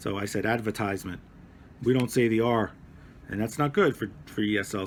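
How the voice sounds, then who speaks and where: A man with a slight Brooklyn accent. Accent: slight Brooklyn accent, non-rhotic. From New York (Brooklyn). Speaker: teacher. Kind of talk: lesson for adult ESL students. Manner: casual, self-correcting, repetitive.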